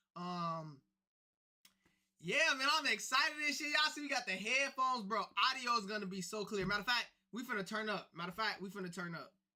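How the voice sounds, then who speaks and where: A man with a high pitch raises and projects his voice. His intonation is lively and his pace fairly quick. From US Midwest, Chicago. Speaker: live streamer. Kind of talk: live stream casual chat.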